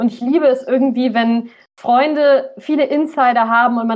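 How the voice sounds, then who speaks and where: Her voice is high-pitched. The woman speaks in a monotone, with flat intonation. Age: 20s. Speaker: aspiring author. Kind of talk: casual interview chat.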